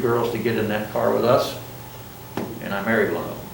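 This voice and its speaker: A man delivers fairly even intonation at a fairly quick speed, with audible room echo and noticeable background noise around him. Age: 70s. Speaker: college business instructor and Vietnam veteran. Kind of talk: classroom lecture. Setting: classroom with students. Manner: conversational, informal.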